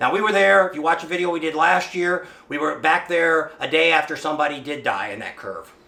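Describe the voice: With vocal fry and a bright, sharp tone, a man speaks at a fairly quick pace and a fairly high pitch, with ordinary pitch variation and audible room echo.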